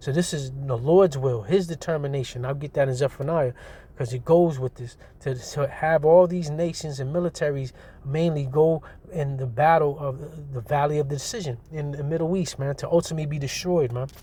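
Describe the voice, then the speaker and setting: At a fairly quick pace, a man speaks with a dark, mellow tone that is somewhat breathy, a fairly high pitch, and fairly even intonation. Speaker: street preacher / religious teacher. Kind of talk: scripture teaching. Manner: fast; casual, repetitive.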